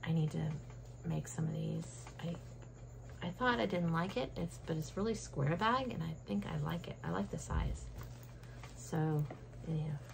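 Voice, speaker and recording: With audible room echo, a woman speaks at a moderate pace, leaving long, frequent pauses. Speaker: cross-stitch vlogger. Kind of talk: casual show-and-tell vlog. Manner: quieter than usual; chatty, with many fillers.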